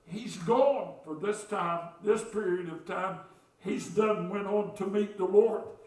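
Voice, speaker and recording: With an American accent, the speaker talks at a fairly slow pace amid audible room echo. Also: man. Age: 60s. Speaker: pastor. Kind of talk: sermon. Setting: church.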